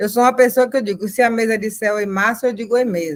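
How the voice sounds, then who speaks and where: A woman with a plain, everyday voice, fairly high-pitched, uses ordinary pitch variation in a dry, close recording with no echo. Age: 60s. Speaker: activist mother. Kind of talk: personal testimony in panel.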